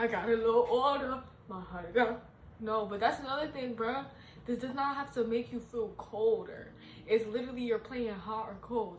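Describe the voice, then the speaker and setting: A woman speaks in an animated tone at a high pitch, with ordinary pitch variation and a moderate pace. Noticeable background noise and audible room echo fill the recording. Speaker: tarot reader. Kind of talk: casual tarot reading monologue.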